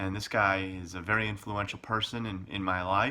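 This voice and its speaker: A man speaks at a fairly low pitch and a moderate pace. His tone is bright and sharp. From Chicago, US Midwest. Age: 40s. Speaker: expat vlogger. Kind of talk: casual personal vlog. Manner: halting, many fillers.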